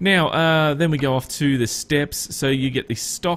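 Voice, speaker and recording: At a moderate pace, a man speaks in a fairly high voice with an Australian accent. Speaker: gaming YouTuber. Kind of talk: gameplay commentary. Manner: casual, hesitant with frequent fillers.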